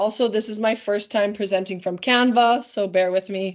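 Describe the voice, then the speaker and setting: Speaking fairly quickly, a woman has a Canadian accent. Her medium-pitched voice keeps a fairly even intonation. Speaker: volleyball coach. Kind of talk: webinar lecture. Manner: fast.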